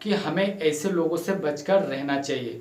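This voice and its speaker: A man with a non-native accent, audible room echo and noticeable background noise. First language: not Hindi (speaking Hindi). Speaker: motivational YouTuber. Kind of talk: motivational talk. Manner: halting, many fillers.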